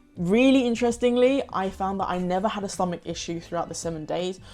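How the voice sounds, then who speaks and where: A woman with a London accent talks at a fairly quick pace, her fairly low pitch showing ordinary variation. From London, UK. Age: 20s. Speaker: pre-qualified lawyer and vlogger. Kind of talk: casual talk to camera.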